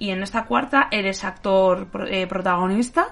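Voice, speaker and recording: Bright and sharp in tone, a woman speaks at a medium pitch with ordinary pitch variation. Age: 30s. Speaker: film podcast host. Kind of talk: casual chat. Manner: halting.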